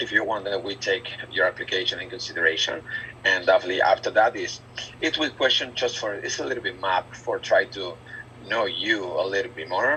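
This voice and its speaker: A man with a strong Spanish accent talks at a fairly quick pace against noticeable background noise. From Argentina. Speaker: recruiter / business manager. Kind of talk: group job interview briefing. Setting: video call. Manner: halting, many fillers and repetitions.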